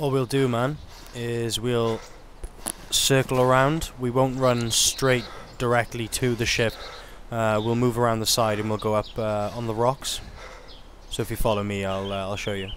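A man with a British accent talks at a moderate pace, his intonation fairly even and broken by long, frequent pauses. The sound is dry with no echo, and there is light background noise. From United Kingdom. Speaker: gaming video creator. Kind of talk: gameplay narration with roleplay. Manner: casual. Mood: cautious, calming, commanding.

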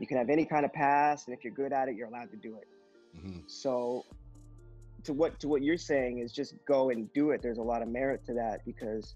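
Faint music plays in the background, and the sound is dry with no echo. A man speaks very fast with big swings in loudness and ordinary pitch variation. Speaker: remote podcast guest. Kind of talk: interview answer. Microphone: video call.

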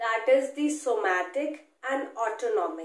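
Speaking at a fairly slow pace, a woman is heard with audible room echo. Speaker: medical educator. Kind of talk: lecture. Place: home room.

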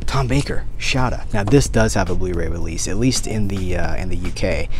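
A moderate pace over faint background music, with a dry sound and no echo. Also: man. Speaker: collector vlogger. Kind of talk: casual vlog chat. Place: shop. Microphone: phone near.

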